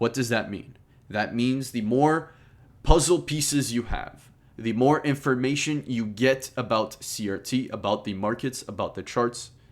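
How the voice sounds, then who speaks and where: A man with an unremarkable speaking voice talks at a medium pitch and a fairly slow pace, with ordinary pitch variation. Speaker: trading course teacher. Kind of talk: tutorial.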